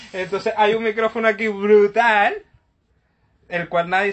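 A man talks at a moderate pace with fairly even intonation and a high pitch. The background is quiet. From Venezuela. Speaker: podcast host. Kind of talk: casual chat.

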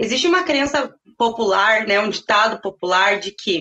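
This woman has an ordinary speaking voice with a fairly high pitch. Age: 30s. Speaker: sales consultant. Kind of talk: interview.

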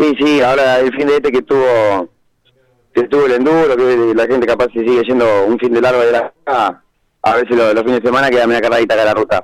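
At a fairly quick pace, a man speaks in a plain, everyday voice at medium pitch, with very even loudness and fairly even intonation. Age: 20s. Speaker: racing driver and machine mechanic. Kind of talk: radio interview.

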